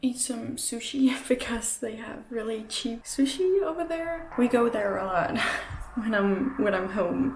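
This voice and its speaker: A woman speaks at a fairly high pitch. Noticeable background noise sits behind her voice. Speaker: art vlogger. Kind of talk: casual vlog talk. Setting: at mother's house. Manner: slow; halting.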